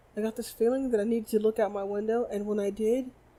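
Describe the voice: The clip is plain reading aloud, its intonation fairly even.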